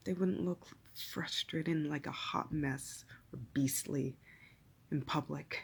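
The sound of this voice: Slow, fairly even speech with a husky, rough edge and vocal fry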